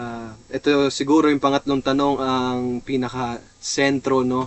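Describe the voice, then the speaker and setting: A man speaks with a Filipino accent. His pace is fairly slow. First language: Tagalog. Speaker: seminarian. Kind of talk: lecture. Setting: in a seminary vehicle. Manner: hesitant, many fillers.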